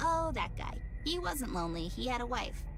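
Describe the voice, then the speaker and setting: The speaker uses a put-on character voice. Loud background noise fills the recording. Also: moderate pace. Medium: game stream. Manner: polite, unhurried.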